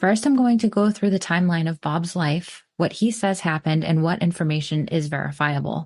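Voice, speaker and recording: Somewhat breathy and fairly low-pitched, a woman speaks at a moderate pace with lively intonation over a quiet background. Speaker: podcast host. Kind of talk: scripted narration.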